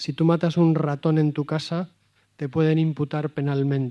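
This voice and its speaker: Against a quiet background, a man with a Valladolid accent speaks in a dark, mellow tone. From Spain, Valladolid. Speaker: priest and moral theologian. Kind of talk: talk to a live audience. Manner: direct.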